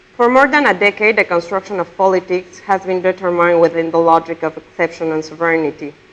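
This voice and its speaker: A woman with a Spanish accent speaks at a moderate pace, her fairly low pitch showing ordinary variation. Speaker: conference speaker. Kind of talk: lecture read from a prepared text. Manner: reading aloud, some repetitions.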